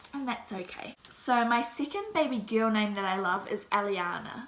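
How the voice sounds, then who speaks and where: With a New Zealand accent, a woman speaks at a moderate pace in a fairly high pitch with ordinary pitch variation over noticeable background noise. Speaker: mommy vlogger. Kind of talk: casual vlog talk. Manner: casual, hesitant.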